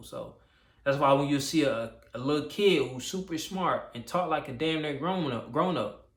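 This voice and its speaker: Speaking at a moderate pace with ordinary pitch variation, a man with a fairly high pitch is heard with audible room echo. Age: 20s. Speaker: YouTuber. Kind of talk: casual vlog monologue. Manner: halting, repetitive.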